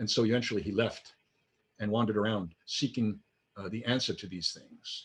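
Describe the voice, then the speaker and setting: The man's voice is somewhat breathy. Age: 60s. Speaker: minister. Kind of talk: sermon. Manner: conversational.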